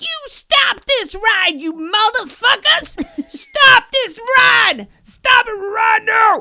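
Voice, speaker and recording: Shouting in a put-on character voice, the speaker hits an extremely high pitch. The pace is very slow. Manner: screaming.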